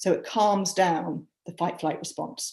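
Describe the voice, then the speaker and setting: Somewhat breathy, this woman's voice carries. Her intonation is lively. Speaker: scientist and climate speaker. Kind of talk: online talk with guided breathing. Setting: video call. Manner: fast.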